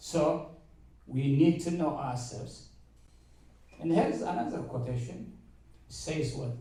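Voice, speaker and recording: A man with a strong African accent speaks with audible room echo. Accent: heavy African. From Eritrea. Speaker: university mathematics lecturer speaking to students. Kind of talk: motivational talk to students.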